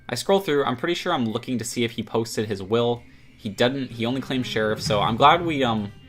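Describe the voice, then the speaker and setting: A man at medium pitch, talking at a very fast pace with ordinary pitch variation, music in the background. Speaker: gaming YouTuber. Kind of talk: post-commentary over gameplay. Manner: casual, rambling with fillers.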